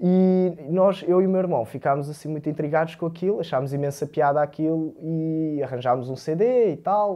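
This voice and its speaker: The talk runs at a moderate pace with hardly any pauses. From Moldova. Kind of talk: casual chat. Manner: halting.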